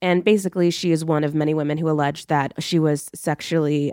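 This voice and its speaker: In a very clean recording with a silent background, a woman with a very deep, low pitch speaks at a fairly quick pace with ordinary pitch variation. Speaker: journalist. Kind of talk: roundtable discussion.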